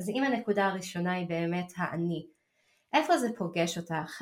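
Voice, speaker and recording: A woman's fairly low-pitched voice. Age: 40s. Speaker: naturopath and podcast host. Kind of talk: personal podcast monologue. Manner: halting.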